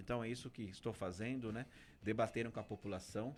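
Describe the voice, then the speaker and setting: Fairly quick speech from a man at a medium pitch. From Brazil, Guarulhos (São Paulo). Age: 40s. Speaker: political candidate. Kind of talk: radio interview.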